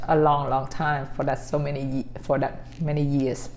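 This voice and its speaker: A woman with a Vietnamese accent speaks at a very deep, low pitch. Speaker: vlogger. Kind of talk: casual talk to camera. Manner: halting.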